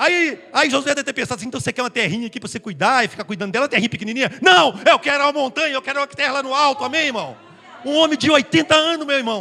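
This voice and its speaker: An extremely high, raised and projected man's voice, very fast and lively in intonation, over noticeable background noise. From northeast Brazil (Tabira, Pernambuco). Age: 60s. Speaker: pastor. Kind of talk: sermon.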